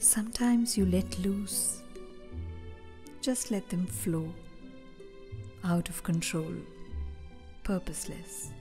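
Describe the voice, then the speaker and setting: Music plays in the background as a woman talks. Her pace is very slow, with long, frequent pauses. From India. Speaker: actor and poet. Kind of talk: poetry reading.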